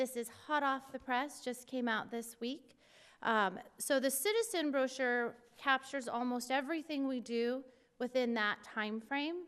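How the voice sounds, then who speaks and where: A high-pitched woman's voice with ordinary pitch variation and a fairly slow pace. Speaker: parks and recreation staff presenter. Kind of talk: presentation at public meeting. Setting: city commission meeting.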